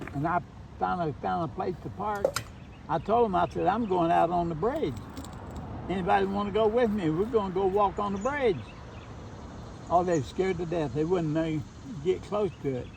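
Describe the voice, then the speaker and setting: Speaking in an Appalachian accent at a moderate pace, a man with a high pitch uses lively intonation and long, frequent pauses over noticeable background noise. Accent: Appalachian Kentucky. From eastern Kentucky, Letcher County. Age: 80s+. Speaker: retired teacher. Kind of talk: casual chat. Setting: outdoors.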